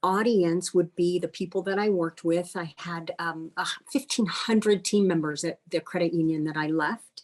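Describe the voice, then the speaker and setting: A woman talks at a moderate pace in a fairly low pitch with ordinary pitch variation. Hers is a plain, everyday voice. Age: 60s. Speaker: life and career coach, retired banker. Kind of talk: interview.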